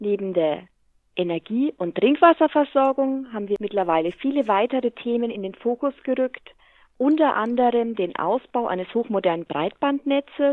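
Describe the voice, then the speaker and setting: A woman with a fairly high pitch speaks at a moderate pace in a normal speaking voice, her intonation lively. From Lower Franconia, Bavaria (Hammelburg). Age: 40s. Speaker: utility company executive. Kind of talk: interview.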